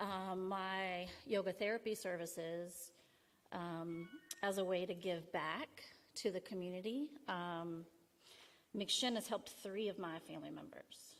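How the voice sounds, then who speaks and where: Music plays in the background as a woman speaks at a fairly slow pace. Her pitch varies in an ordinary way, with long, frequent pauses. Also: medium pitch for a woman. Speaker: yoga therapist. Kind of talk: personal testimony. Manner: halting.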